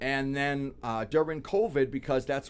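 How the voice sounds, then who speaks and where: At a moderate pace, a man talks with a Boston accent. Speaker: content creator. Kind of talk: casual chat.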